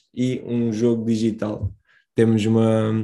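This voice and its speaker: Man with a medium pitch, dark and mellow tone, and monotone, flat intonation. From Moldova, moved to Portugal at 10. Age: 20s. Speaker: social entrepreneur. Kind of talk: casual chat.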